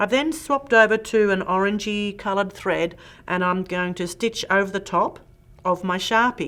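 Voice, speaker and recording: Speaking at a fairly quick pace, a woman with a strong Australian accent uses a medium pitch and ordinary pitch variation. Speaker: quilting instructor. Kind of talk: tutorial. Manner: animated.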